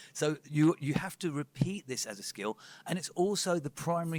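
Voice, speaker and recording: A man talks with ordinary pitch variation. The sound is dry and close with no echo, over noticeable background noise. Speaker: personal trainer giving a talk. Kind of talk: presentation to a live audience. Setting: talk with live audience. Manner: fast.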